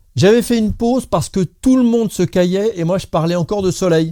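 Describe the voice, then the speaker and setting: A man's dark, mellow tone with lively intonation at a moderate pace. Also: dry, close sound with no echo. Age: 60s. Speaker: solar heating installer and DIY YouTuber.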